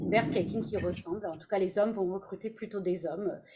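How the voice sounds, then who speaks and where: With a dark, mellow tone and a somewhat breathy quality, a woman speaks in fairly even intonation. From Canada. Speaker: HR director. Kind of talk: panel discussion. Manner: hesitant, many fillers.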